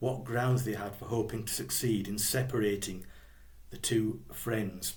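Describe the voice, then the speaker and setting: A man in a Yorkshire accent, fairly low-pitched and somewhat breathy, with fairly even intonation and audible room echo. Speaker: biographer and blogger. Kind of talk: literary talk with reading aloud. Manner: casual, with hesitations.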